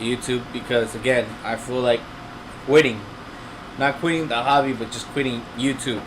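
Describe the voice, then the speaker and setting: A man with a non-native accent and medium pitch, over noticeable background noise. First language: not English. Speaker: aquarium hobby youtuber. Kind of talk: live stream chat. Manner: casual, halting with fillers.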